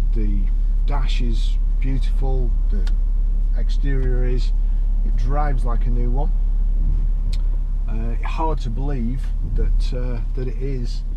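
Over noticeable background noise, a man speaks very slowly with long, frequent pauses. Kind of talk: car review commentary. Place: car. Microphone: camera far.

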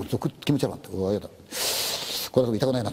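A male voice races along very quickly while noticeable noise sits in the background. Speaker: ghost story teller. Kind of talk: spoken ghost story.

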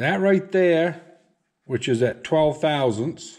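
Against a quiet background, a man speaks fairly slowly with very wide pitch swings. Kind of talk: tutorial. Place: garage. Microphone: phone near.

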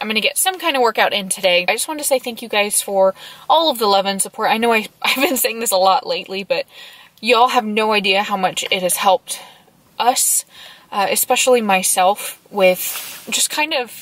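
With a dry sound and no echo, a woman talks at a fairly quick pace. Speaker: travel vlogger. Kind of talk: casual vlog chat. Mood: warm, grateful, reflective. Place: car. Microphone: phone near.

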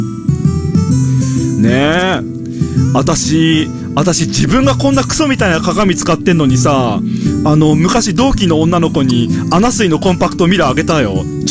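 Loud music plays in the background of a dry recording with no echo, and the speech moves at a fairly slow pace. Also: man. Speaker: game streamer. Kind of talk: casual game commentary chat.

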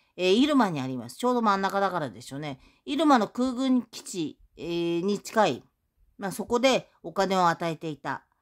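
At a moderate pace, a woman's voice makes big swings in loudness and very wide pitch swings over a quiet background. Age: 60s. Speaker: YouTuber. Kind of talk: monologue vlog. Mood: aggrieved, accusatory. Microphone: phone near.

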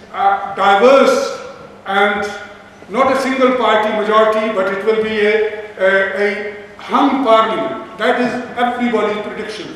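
With a Pakistani accent, a man speaks at a moderate pace in a high voice, surrounded by strong room echo. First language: Urdu or Punjabi. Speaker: event organizer and Labour councillor. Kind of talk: meeting host remarks. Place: hall. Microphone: camera far.

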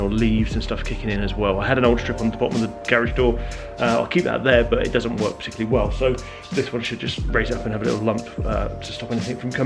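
A man talks at a very fast pace. Clear music can be heard in the background. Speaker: DIY vlogger. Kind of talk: casual vlog chat. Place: garage. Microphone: phone near.

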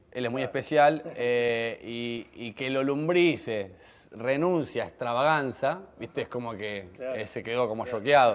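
This man has a Rioplatense accent. He talks at a fairly slow pace with ordinary pitch variation. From Argentina, Rosario; Argentina. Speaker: comedian. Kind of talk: TV interview. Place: cafe. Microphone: lapel.

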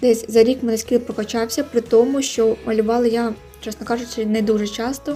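With music in the background, a woman speaks fairly quickly in a fairly high, monotone, flat voice. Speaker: digital artist. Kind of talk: casual voiceover commentary on drawing video.

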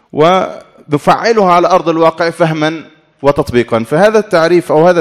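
The background is quiet. The speaker moves at a fairly slow pace with ordinary pitch variation. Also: man. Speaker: Islamic studies scholar; conference speaker. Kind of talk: conference talk. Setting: academic conference hall. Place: hall. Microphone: podium.

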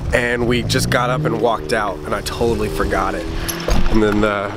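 A man speaks in a dry sound with no echo while music plays in the background. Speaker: vlogger. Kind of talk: casual vlog chat.

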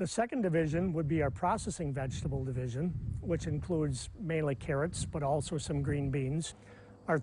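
A man with an American accent talks at a fairly quick pace in an ordinary speaking voice, his pitch fairly high with ordinary pitch variation. Light background noise sits under a dry sound with no echo. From Wisconsin, Manitowoc County. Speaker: farmer. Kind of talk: interview. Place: farm. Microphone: lapel.

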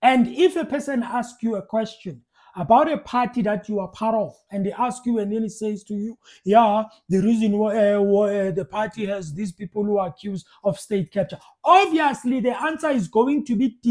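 A man talks with lively intonation at a moderate pace. The background is quiet. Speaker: political commentator. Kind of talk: reaction commentary. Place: home room. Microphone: earbuds.

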